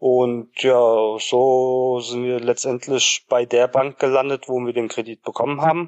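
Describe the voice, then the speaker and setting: A man's medium-pitched, flat monotone at a very slow pace, with hardly any pauses. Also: dry, close sound with no echo. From Germany, Hesse near Frankfurt. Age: 30s. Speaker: tiler and home renovator. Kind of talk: interview.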